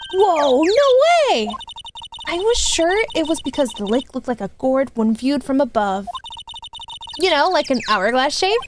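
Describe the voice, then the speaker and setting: A woman uses a put-on character voice with a high pitch. Long, frequent pauses break up her lines over music in the background. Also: moderate pace. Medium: virtual streamer. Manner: bubbly, enthusiastic.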